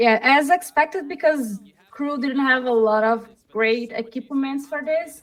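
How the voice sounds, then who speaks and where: The speaker has a Portuguese accent. The pace is fairly slow. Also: woman, high pitch for a woman, ordinary pitch variation. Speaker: esports caster. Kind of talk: live commentary. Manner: halting.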